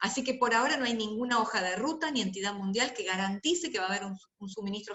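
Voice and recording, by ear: A woman's fairly bright tone with ordinary pitch variation and audible room echo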